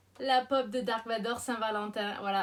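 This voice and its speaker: Her speech comes fairly slowly. The woman's intonation is fairly even. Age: 30s. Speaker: YouTuber. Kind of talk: casual vlog.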